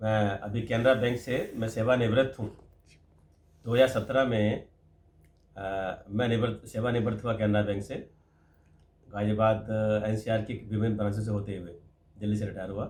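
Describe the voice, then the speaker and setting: A man's fairly low, somewhat breathy voice in a flat monotone, with long, frequent pauses. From Delhi, India. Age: 60s. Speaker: retired bank employee. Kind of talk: interview.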